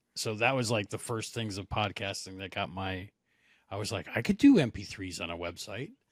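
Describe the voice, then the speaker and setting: Fairly low-pitched man with an American accent, moderate pace, ordinary pitch variation and big swings in loudness, on a very clean recording with a silent background. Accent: New Jersey, unless suppressed. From New Jersey, Monmouth County. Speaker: podcaster. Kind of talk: casual chat.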